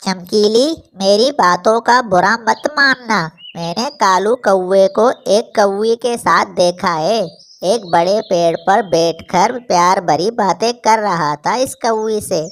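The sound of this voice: In a cartoonish character voice that sounds female, the speaker goes at a fairly slow pace with medium pitch for a woman.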